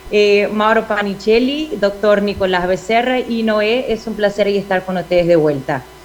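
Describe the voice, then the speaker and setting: A woman speaks with a Portuguese accent at a moderate pace, with hardly any pauses and ordinary pitch variation. Noticeable background noise is present. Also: medium pitch for a woman. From Brazil. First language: Portuguese (speaking Spanish). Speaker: ophthalmologist, glaucoma surgeon. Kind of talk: conference lecture. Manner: halting, many fillers and self-corrections.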